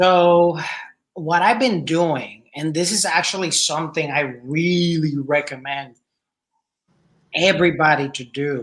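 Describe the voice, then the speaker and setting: Someone speaks in a Spanish accent at a fairly slow pace, with long, frequent pauses. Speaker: podcast host. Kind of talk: casual chat.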